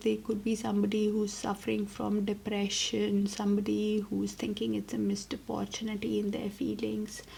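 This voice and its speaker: A woman talks at an even, middling speed while clear background noise is heard. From India. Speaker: tarot reader. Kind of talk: tarot reading.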